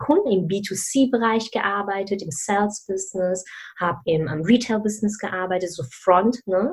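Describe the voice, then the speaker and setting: A woman talks at a moderate pace and a medium pitch, with ordinary pitch variation. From Germany, of Malaysian family. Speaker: career mentor. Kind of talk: interview. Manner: animated, many fillers.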